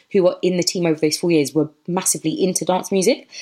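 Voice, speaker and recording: A woman speaks with a London accent. Her pitch sits in the medium range. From southeast London. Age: 20s. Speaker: DJ and label founder. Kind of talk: casual interview.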